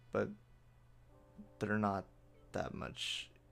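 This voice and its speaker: Music plays in the background as a man speaks. His pace is fairly slow and his pitch fairly low. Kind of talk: casual talk to camera, video game patch overview. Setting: home, recorded late at night.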